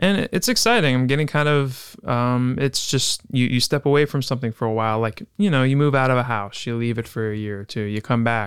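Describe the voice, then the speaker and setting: Here is a man with an ordinary speaking voice and medium pitch. He talks at a fairly quick pace with hardly any pauses and ordinary pitch variation. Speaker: podcast host, writer.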